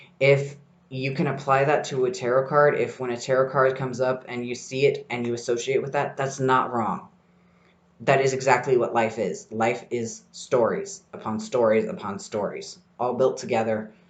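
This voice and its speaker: With a plain, everyday voice, a man talks at a moderate pace and medium pitch, using lively intonation. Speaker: tarot podcast host. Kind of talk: solo podcast talk. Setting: library study room.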